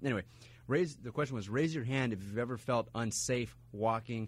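An ordinary speaking voice at a moderate pace, with ordinary pitch variation, on a very clean recording with a silent background. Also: man. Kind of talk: radio DJ patter: bright show intro and back-announcing, repeating the text number. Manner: upbeat, clear, relaxed and conversational.

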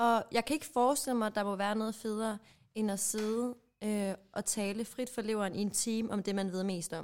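Fairly even intonation in a normal speaking voice, at a moderate speed. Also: woman, fairly high pitch for a woman. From Jutland, Denmark. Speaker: podcast co-host. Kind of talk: casual chat.

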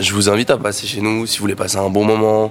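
A man speaks at a fairly low pitch in monotone, flat intonation. Noticeable background noise runs underneath. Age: 20s. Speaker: restaurant manager. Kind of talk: promotional presentation.

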